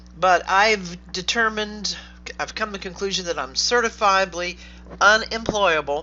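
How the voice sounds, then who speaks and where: Against noticeable background noise, a woman speaks at a moderate pace. Her pitch is medium, with ordinary variation. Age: 60s. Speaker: online business coach. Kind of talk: direct-to-camera talk. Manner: casual, with fillers.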